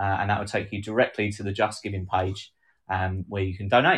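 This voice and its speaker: In a southern English accent, a man talks against a quiet background. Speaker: podcast co-host. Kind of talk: casual chat, live stream. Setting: live video stream. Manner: sarcastic, laughs often.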